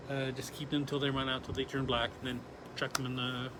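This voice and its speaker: A man's fairly quick delivery carries audible room echo. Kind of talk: live stream product showcase. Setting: showroom live stream.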